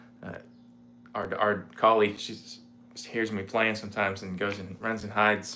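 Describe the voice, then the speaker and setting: With an American accent and a relaxed tone, a man at a fairly low pitch talks at a moderate pace in monotone, flat intonation, with big swings in loudness and audible room echo. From Indiana, US Midwest. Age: 40s. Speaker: guitarist. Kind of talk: casual chat. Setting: home livestream. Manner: relaxed, halting with fillers.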